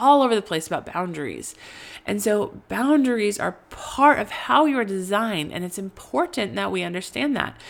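At a moderate pace, a woman with a medium-pitched voice speaks with very wide pitch swings. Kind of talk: teaching monologue. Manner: halting, stuttering; casual, conversational.

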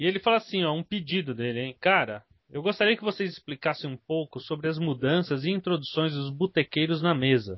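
A plain, everyday voice from a man, fairly high in pitch and fairly quick, with lively intonation and hardly any pauses. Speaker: podcast host. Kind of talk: casual chat.

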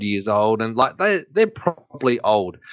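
An Australian accent marks this voice. It belongs to a man. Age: 40s. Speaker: chiropractor and co-host. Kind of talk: casual interview chat. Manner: joking, lively.

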